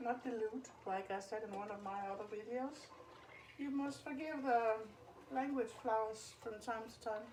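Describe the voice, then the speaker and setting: Amid noticeable background noise and audible room echo, a woman speaks at a moderate pace with a fairly high pitch and ordinary pitch variation. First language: Danish. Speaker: home cooking youtuber. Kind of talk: tutorial. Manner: casual, halting.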